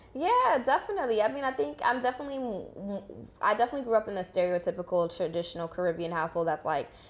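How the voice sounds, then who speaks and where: Talking at a very fast pace, a woman with an American accent has a fairly high pitch that swings very widely. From Boston, Haitian family. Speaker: guest on a podcast. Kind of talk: casual interview.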